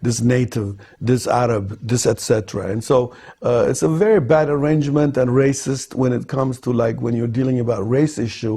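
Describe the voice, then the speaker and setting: Here a man speaks at a moderate pace in a medium pitch with ordinary pitch variation. His tone is dark and mellow, and somewhat breathy. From Ethiopia, Gondar. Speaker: film director. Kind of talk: interview answer.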